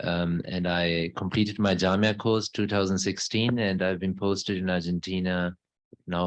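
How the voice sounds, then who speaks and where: In a German accent, a man speaks in a very deep, low voice with flat, monotone intonation. His pace is moderate, and the background is quiet. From Germany. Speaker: missionary. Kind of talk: conversational interview. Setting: mosque.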